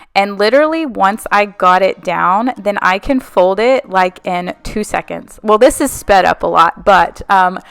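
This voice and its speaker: At a fairly slow pace with hardly any pauses, a woman with a plain, everyday voice speaks at a medium pitch with lively intonation, in a dry, close sound with no echo. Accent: American. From Texas, Houston. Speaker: cleaning vlogger. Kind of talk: casual voiceover chat. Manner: casual, filler-heavy.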